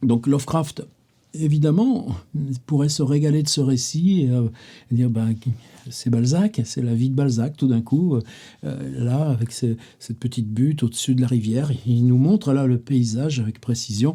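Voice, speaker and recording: A man's somewhat breathy voice at a medium pitch, dark and mellow in tone, with ordinary pitch variation and a fairly slow pace. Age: 70s. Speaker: writer and literary videoblogger. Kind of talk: casual literary monologue. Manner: hesitant, many fillers and repetitions; animated.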